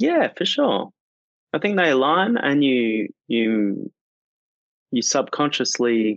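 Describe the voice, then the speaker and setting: With an Australian accent and lively intonation, a man speaks at a very slow pace in a dry, close sound with no echo. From rural northern Australia. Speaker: singer-songwriter. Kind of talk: interview conversation.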